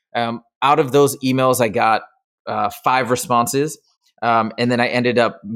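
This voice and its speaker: A man with a normal speaking voice, medium pitch, fairly even intonation, and an American accent. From Michigan. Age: 40s. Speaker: tutoring business founder. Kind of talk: casual interview.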